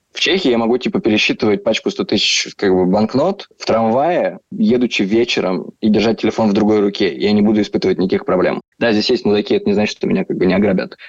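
The speech comes at a very fast pace with hardly any pauses. The sound is dry and close, with no echo. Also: man. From southern Russia, Rostov. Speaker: entrepreneur, emigrant. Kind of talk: casual interview.

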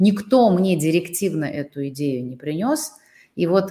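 A dark, mellow tone carries at a fairly slow pace with ordinary pitch variation. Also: woman. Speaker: interview show host and coach. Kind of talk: interview. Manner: warm, polite.

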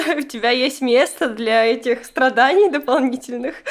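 A woman speaks in a high-pitched voice with ordinary pitch variation. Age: 20s. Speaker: podcast host. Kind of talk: casual interview.

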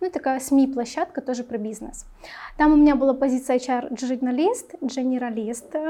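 A woman with a high pitch and a dark, mellow tone speaks at a moderate pace with ordinary pitch variation. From Belarus. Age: 20s. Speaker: HR specialist. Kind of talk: casual interview.

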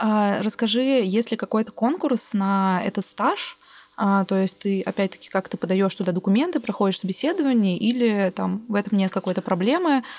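Delivered at a moderate pace, this is a normal speaking voice with ordinary pitch variation and very even loudness. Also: woman. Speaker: podcast host and producer. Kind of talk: casual interview.

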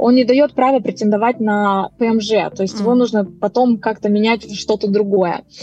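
A woman's fairly high-pitched voice, a normal speaking voice, with fairly even intonation and a moderate pace. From Moldova. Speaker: immigration consultant. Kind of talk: interview.

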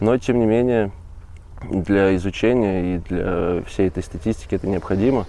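Fairly low in pitch, a man speaks with a dark, mellow tone and ordinary pitch variation. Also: moderate pace. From Russian Far East, Magadan region. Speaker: volunteer ornithology field assistant. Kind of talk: casual interview. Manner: hesitant, many fillers.

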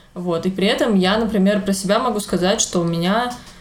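At a moderate pace, a woman talks in a medium pitch with ordinary pitch variation, an ordinary speaking voice. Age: 20s. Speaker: podcast co-host, illustrator and teacher. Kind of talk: casual chat. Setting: home kitchen.

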